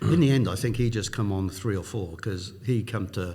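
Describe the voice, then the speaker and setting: A man with a South Wales accent talks at a moderate pace in a dark, mellow, somewhat breathy tone with ordinary pitch variation, in audible room echo. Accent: Welsh (South Wales). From South Wales, Newport. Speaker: business executive. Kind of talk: interview.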